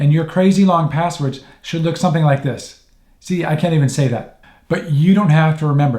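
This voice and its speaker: Intonation stays fairly level throughout. The tone comes across dark and mellow. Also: man. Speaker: tech tips youtuber. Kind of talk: tutorial. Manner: fast; casual, with fillers.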